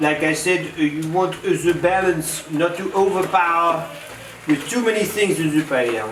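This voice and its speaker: A man speaks in a French accent at a fairly slow pace with fairly even intonation. Audible room echo and noticeable background noise surround him. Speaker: chef. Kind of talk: cooking demonstration. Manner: halting.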